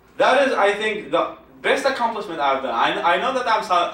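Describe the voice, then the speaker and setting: Over noticeable background noise, a man with an Iraqi accent speaks at a moderate pace with lively intonation. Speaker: secular activist, founder. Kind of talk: public talk.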